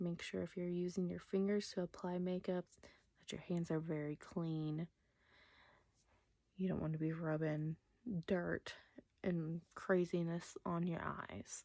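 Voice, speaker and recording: Soft-spoken, a woman talks at a fairly slow pace and fairly low pitch in a dark, mellow tone, monotone and flat, with long, frequent pauses. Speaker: makeup artist. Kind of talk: makeup tutorial.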